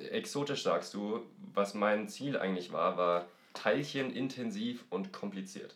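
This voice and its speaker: At a fairly slow pace, a man with a fairly low pitch and ordinary pitch variation talks in a normal speaking voice. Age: 20s. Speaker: board game podcast guest. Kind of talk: casual chat.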